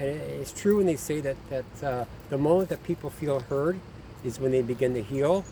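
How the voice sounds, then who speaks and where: With noticeable background noise behind him, a man with a fairly high pitch speaks at a moderate pace with ordinary pitch variation. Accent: Canadian. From Ontario, Canada. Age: 50s. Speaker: abuse survivor. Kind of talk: personal testimony. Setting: outdoors in nature. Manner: halting, many fillers.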